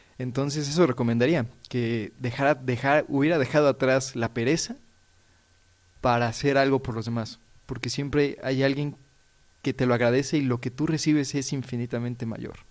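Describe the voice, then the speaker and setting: A man with a Mexican accent speaks at a moderate pace. His medium pitch has fairly even intonation. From Mexico (Puebla, Mexico City). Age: 20s. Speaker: religious novice. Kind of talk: religious radio discussion.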